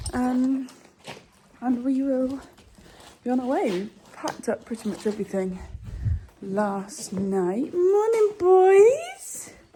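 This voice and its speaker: Over noticeable background noise, a woman with a high pitch talks at a very slow pace, with very wide pitch swings and long, frequent pauses. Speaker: equestrian vlogger. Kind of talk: casual vlog.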